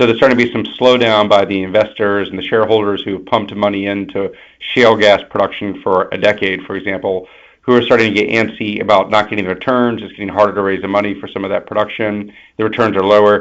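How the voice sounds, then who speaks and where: With an American accent, a man at a fairly low pitch speaks at a very fast pace in monotone, flat intonation, with big swings in loudness. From Texas. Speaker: energy company science executive. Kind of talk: webinar panel discussion.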